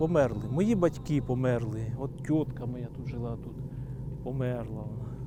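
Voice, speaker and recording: A man speaks in a normal speaking voice at medium pitch and a fairly slow pace, with ordinary pitch variation and big swings in loudness. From Polesia, northern Ukraine. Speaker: beekeeper. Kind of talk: documentary interview. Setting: outdoors.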